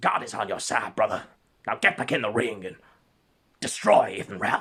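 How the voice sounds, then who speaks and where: A man puts on a character voice. He speaks at a moderate pace. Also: medium pitch for a man. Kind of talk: sermonizing. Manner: fervent, encouraging.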